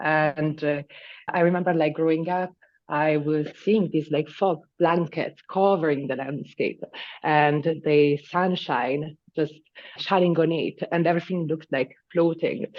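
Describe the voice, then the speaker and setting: The speaker has an Italian accent and a fairly slow pace. The intonation stays fairly even. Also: woman, very deep, low pitch for a woman. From northern Italy, Lombardy. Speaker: landscape designer. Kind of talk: interview. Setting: video call.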